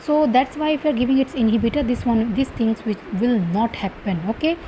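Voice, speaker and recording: Noticeable background noise accompanies a woman speaking at high pitch and a fairly quick pace with lively intonation. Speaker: medical exam tutor. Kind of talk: lecture. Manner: fast.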